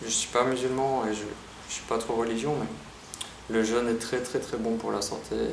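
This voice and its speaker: Long, frequent pauses break up the speech, with audible room echo and noticeable background noise. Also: man, medium pitch for a man, fairly even intonation, moderate pace. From Belgium, Liège. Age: 30s. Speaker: vlogger. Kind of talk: personal vlog monologue. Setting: empty apartment. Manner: casual, hesitant with repetitions.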